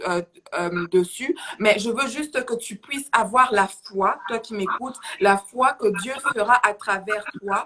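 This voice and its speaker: The speech moves at a fairly slow pace with ordinary pitch variation. There is noticeable background noise. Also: woman. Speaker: preacher. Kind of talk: sermon. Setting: livestream. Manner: halting.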